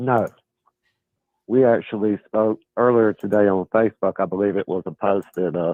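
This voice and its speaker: Fairly low male voice in a Southern US accent, moderate pace, fairly even intonation. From US South. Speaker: caller. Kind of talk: call-in debate.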